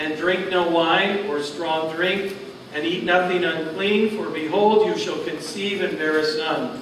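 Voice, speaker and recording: Over light background noise and with audible room echo, a man with a high pitch speaks at a fairly slow pace using fairly even intonation. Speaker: preacher. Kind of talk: sermon scripture reading. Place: church. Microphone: camera far.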